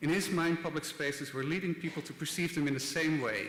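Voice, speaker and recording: A man with a Dutch accent is heard with audible room echo and noticeable background noise. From Netherlands (Rotterdam). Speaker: design institute director. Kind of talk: conference talk. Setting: stage with audience. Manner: hesitant, many filler words.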